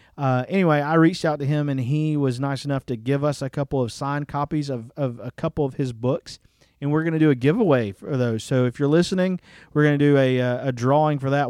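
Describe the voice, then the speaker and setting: A man with a Southern US accent speaks very fast at a fairly high pitch, his tone dark and mellow. His intonation stays fairly even, and the sound is dry and close with no echo. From Alabama. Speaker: pastor. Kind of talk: casual chat.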